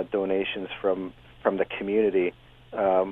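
With an ordinary speaking voice, a man talks at a fairly low pitch and a moderate pace. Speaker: university scientist. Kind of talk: radio interview.

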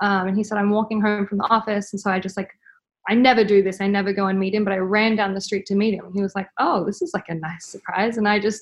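Very fast and monotone, with flat intonation, a woman with an Australian accent speaks at medium pitch. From Australia, Brisbane. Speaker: mother sharing birth story. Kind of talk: interview.

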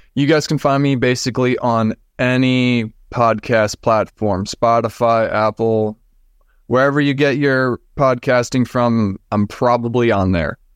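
A man with an American accent speaks at a fairly slow pace in a medium pitch, with fairly even intonation and very even loudness, in an unremarkable speaking voice, recorded with a dry, close sound with no echo against a quiet background. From Minnesota. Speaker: podcaster sharing paranormal experiences. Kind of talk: casual interview, personal storytelling.

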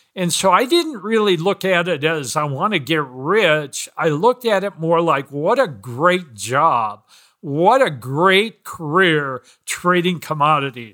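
On a very clean recording with a silent background, a man with an American accent speaks at a fairly slow pace in a high, bright, sharp voice with lively intonation. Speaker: trader. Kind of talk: casual interview.

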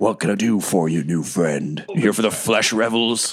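A man puts on a character voice with a fairly low pitch and lively intonation. His loudness stays very even. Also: moderate pace. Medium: actual play. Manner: chatty, wry.

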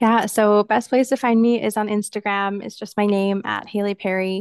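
In a plain, everyday voice, a woman speaks at a moderate pace with fairly even intonation. The sound is dry and close with no echo, and the background is quiet. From Canada. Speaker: physiotherapist. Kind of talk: podcast interview.

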